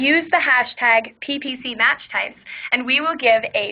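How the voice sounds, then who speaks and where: The intonation is lively, set against noticeable background noise. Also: woman. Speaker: webinar host. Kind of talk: webinar presentation. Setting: online webinar. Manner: fast.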